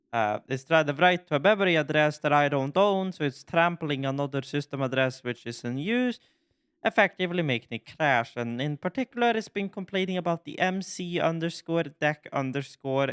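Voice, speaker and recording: A man with a Norwegian accent and a fairly high pitch, lively intonation and a moderate pace, in a dry, close sound with no echo on a very clean recording with a silent background. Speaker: gaming YouTuber. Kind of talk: casual gaming commentary. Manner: halting.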